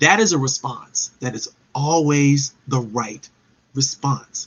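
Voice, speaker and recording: The man's voice is fairly high. It carries a somewhat breathy quality. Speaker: live show host and professional development speaker. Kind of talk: live webinar talk.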